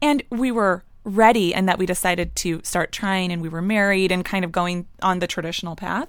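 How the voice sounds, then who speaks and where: In a very clean recording with a silent background, a woman talks at a fairly quick pace in a normal speaking voice, medium in pitch with ordinary variation. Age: 30s. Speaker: stay-at-home mom, panelist. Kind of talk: panel discussion.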